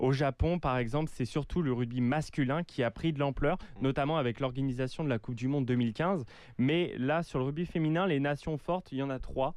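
Against a quiet background, a man speaks at a fairly quick pace. His pitch is fairly high, with ordinary variation. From France. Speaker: exchange student, rugby commentator. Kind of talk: casual sports chat. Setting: radio studio.

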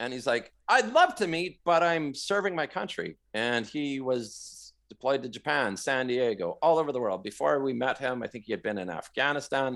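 Lively intonation marks this speech in a Western Canadian accent, delivered at a moderate pace on a very clean recording with a silent background. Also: man, medium pitch for a man. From Western Canada, Vancouver area. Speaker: cancer survivor and marathon runner. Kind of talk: casual interview.

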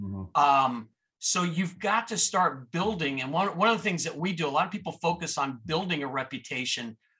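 In an American accent, a man with a fairly high pitch speaks with lively intonation, a bright, sharp tone and vocal fry. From Miami, Florida. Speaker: entrepreneur. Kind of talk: interview.

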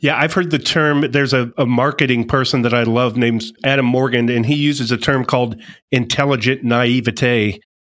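A man's normal speaking voice at medium pitch, fairly quick in pace, with fairly even intonation and very even loudness, on a very clean recording against a silent background. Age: 50s. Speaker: podcast host and coach. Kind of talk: interview.

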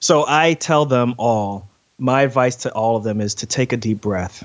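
A man's normal speaking voice at medium pitch, with ordinary pitch variation and a fairly slow pace. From New York City (Queens), Ghanaian parents. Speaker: surgeon and podcaster. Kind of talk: interview. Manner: frequent fillers and repetitions.

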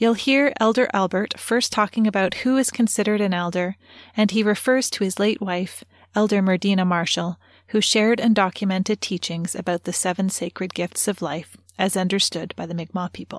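In an unremarkable speaking voice at medium pitch, a woman talks at a fairly quick pace with ordinary pitch variation, recorded very cleanly against a silent background with a dry, close sound and no echo. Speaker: podcast host and interviewer. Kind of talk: scripted intro and interview.

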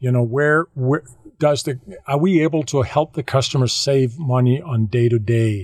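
A somewhat breathy man with a Danish accent, medium pitch, ordinary pitch variation and a moderate pace. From Denmark, west coast. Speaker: solar business developer. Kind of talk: interview. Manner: halting.

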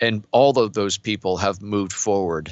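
A man with an ordinary speaking voice, a fairly low pitch, ordinary pitch variation, and a moderate pace. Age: 50s. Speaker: entrepreneur and business coach. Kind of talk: casual interview.

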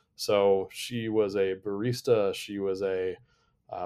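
This man's voice sits fairly low in pitch, with monotone, flat intonation. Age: 30s. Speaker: data and analytics leader at a tech company. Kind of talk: casual interview chat. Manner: calm.

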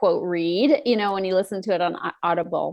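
In an unremarkable speaking voice, a woman talks at a fairly low pitch with ordinary pitch variation. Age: 50s. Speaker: emotional eating coach and author. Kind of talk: interview.

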